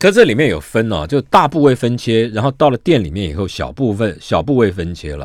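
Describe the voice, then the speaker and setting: A man at a fairly quick pace and medium pitch, with vocal fry, very wide pitch swings and hardly any pauses, on a very clean recording with a silent background. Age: 60s. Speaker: radio host. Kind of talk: casual chat.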